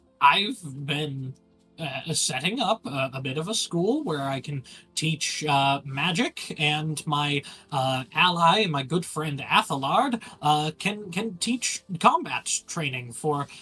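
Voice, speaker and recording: A put-on character voice at a middle pitch. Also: fairly slow pace. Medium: actual play. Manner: hesitant, full of filler words.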